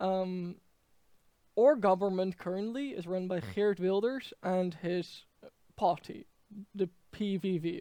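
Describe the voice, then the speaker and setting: The man has a Dutch accent, a high pitch and a dark, mellow tone. The sound is dry and close, with no echo. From Netherlands. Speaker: political commentator. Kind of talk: political commentary monologue. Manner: halting, many fillers.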